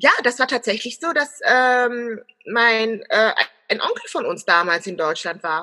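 The tone is bright and sharp, with lively intonation. The pace is fairly slow. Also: woman, high pitch for a woman. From Germany. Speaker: business consultant and personal branding expert. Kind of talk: interview. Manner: hesitant, many filler sounds.

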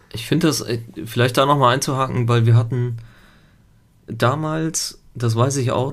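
A man talks at a moderate pace with fairly even intonation and a medium pitch. His voice is somewhat breathy, and there is audible room echo. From Italy until age 7, then Germany. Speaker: podcast co-host, father. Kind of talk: casual chat.

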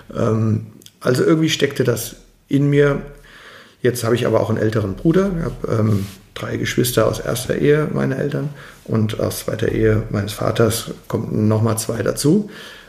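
A man speaks at a moderate pace with lively intonation and a medium pitch, and audible room echo surrounds his voice. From Germany, Mainz. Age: 40s. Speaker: construction business owner. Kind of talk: interview.

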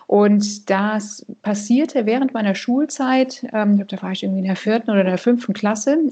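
Pitch varies in an ordinary way here. The voice is an unremarkable speaking voice. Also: woman. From Canada. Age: 40s. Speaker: financial advisor. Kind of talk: interview.

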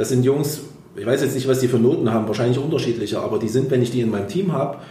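A man talks at a very fast pace. The room echo is audible and the background noise is noticeable. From Thuringia, Germany (Erfurt). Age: 40s. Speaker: engineering firm owner and ice hockey club president. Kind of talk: podcast interview.

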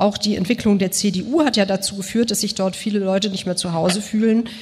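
A woman with a medium pitch and ordinary pitch variation talks fairly quickly while noticeable background noise carries on. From Germany (Bonn) and Moscow. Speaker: journalist. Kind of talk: panel discussion.

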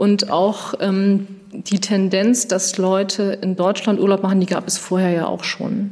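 A woman talks over noticeable background noise. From Schleswig-Holstein, Kiel. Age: 40s. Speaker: tourism marketing manager. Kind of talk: interview. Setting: on location.

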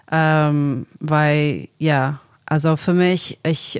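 Monotone, flat intonation in a very clean recording with a silent background. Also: woman. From Australia, Sydney suburbs. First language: English (speaking German). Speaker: singer-songwriter and producer. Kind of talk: casual interview. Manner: halting, many fillers.

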